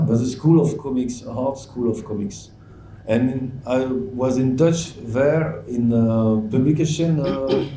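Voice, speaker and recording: There is audible room echo as a man with a French accent speaks at a medium pitch with ordinary pitch variation. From France. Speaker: comics author. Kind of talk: panel discussion. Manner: halting.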